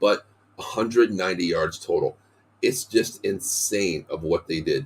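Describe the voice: At a fairly slow pace, a man speaks with low pitch, ordinary pitch variation and a slightly husky edge.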